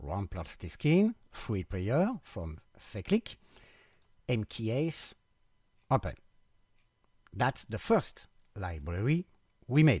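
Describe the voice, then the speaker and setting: The recording is very clean, with a silent background and a dry, close sound with no echo. A man of medium pitch speaks at a very slow pace, somewhat breathy, with very wide pitch swings and long, frequent pauses. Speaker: software developer. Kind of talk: product demo tutorial. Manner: halting.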